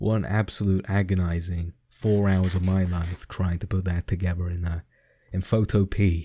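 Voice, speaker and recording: Speaking at a moderate pace, a man with a very deep, low voice sounds dark, mellow and somewhat breathy, his delivery monotone and flat on a very clean recording with a silent background. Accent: English. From England. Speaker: gaming YouTuber. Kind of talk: casual gameplay commentary. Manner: hesitant, many fillers.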